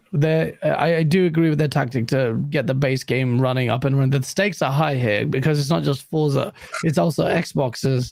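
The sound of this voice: Speaking at a moderate pace, a man has a medium pitch and a slightly mellow tone. Vocal fry is heard in his voice. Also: ordinary pitch variation, few pauses.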